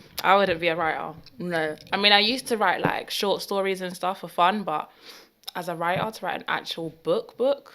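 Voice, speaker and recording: A woman's medium-pitched voice in a London accent, bright and sharp in tone, at a moderate pace with ordinary pitch variation. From northwest London. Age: 20s. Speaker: baker. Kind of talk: casual chat.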